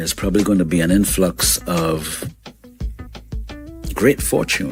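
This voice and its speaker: Music behind a man's very deep, low voice, fairly slow in pace and full of very wide pitch swings. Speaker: radio show host. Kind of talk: morning radio show host talk. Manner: energetic, conversational.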